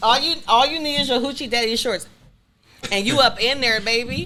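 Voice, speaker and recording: The woman's voice sits high. Her tone is animated. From Germany (Army brat, born in Detroit). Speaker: master barber and social media personality. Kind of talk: casual chat.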